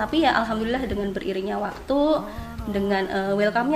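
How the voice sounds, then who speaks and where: A woman speaks at a medium pitch with music playing behind her. The room echo is audible. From Java, Sleman, Yogyakarta. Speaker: midwife, alumna. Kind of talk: podcast interview. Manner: hesitant, many fillers.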